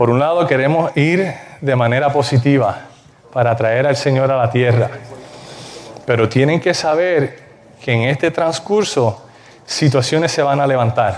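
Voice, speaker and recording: A man talks at a fairly slow pace with a fairly high pitch and ordinary pitch variation. His loudness stays very even, broken by long, frequent pauses. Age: young. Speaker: preacher. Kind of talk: sermon.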